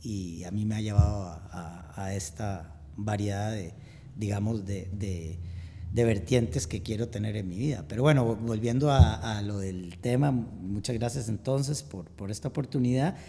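A somewhat breathy man speaks with ordinary pitch variation and big swings in loudness. Room echo is audible. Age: 50s. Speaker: amateur endurance athlete. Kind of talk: interview.

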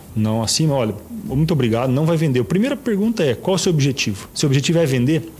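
A man with a fairly high voice talks very fast, a little breathy, his pitch swinging very widely while his loudness stays very even. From Paraná, Brazil (Toledo). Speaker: real estate agency partner. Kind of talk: interview.

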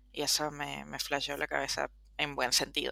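A woman speaks at a moderate pace with a bright, sharp tone and vocal fry. The recording is very clean, with a silent background. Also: dry, close sound with no echo. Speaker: film podcast co-host. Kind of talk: casual chat.

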